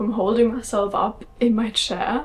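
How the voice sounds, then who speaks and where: A woman speaks with a German accent. Noticeable background noise runs underneath. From Germany. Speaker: vlogger. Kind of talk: casual vlog talk. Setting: at home.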